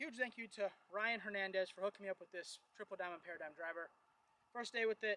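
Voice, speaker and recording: At a very fast pace, a man speaks in a raised, projected voice with ordinary pitch variation and a dry sound with no echo. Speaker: golf vlogger. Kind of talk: casual vlog commentary. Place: open country.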